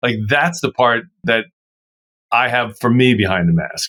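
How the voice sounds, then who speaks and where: On a very clean recording with a silent background, a man with a Baltimore accent speaks at a moderate pace and medium pitch. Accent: Baltimore American English. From US, Baltimore Maryland. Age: 60s. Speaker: sports broadcaster and communications coach. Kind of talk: podcast interview.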